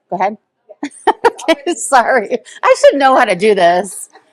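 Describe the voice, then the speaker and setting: The recording is dry and close, without any echo. A woman speaks at a moderate tempo. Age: 40s. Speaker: content creator, former reality TV star. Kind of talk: personal storytelling interview. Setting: coffee shop. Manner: hesitant, many filler words.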